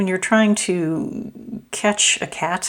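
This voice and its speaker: A woman mumbling. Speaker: tarot reader. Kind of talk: tarot reading. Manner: halting, many fillers.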